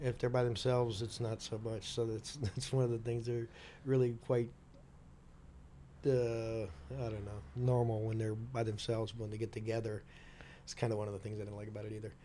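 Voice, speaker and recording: A man speaks at a medium pitch and a fairly quick pace, his intonation fairly even. His tone is dark and mellow, somewhat breathy. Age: 60s. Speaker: biker, host's uncle. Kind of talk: casual interview. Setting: podcast studio.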